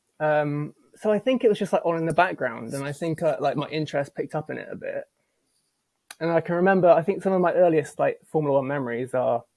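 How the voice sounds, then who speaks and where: On a very clean recording with a silent background, a man with an English accent and a fairly high pitch talks at a very fast pace with ordinary pitch variation. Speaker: apparel business co-founder. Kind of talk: casual chat. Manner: halting, many fillers.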